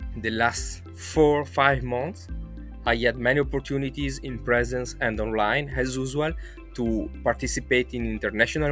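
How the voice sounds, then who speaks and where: Over music in the background, a man with an Italian accent speaks at a moderate pace in a very deep, low voice with very wide pitch swings. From Italy. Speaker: social psychology researcher. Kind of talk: testimonial interview answer.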